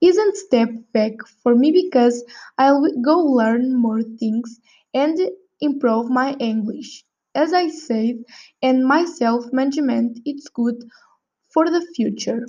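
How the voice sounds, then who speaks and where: Against a quiet background, a woman with a non-native accent talks at a very slow pace in a high pitch, using a dark, mellow tone, ordinary pitch variation, and long, frequent pauses. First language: not English. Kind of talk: prepared speaking exercise. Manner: halting.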